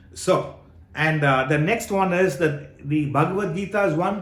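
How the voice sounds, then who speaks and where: Male speech in fairly level intonation, room echo clearly audible. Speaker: spiritual teacher. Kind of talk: Q&A session on scripture.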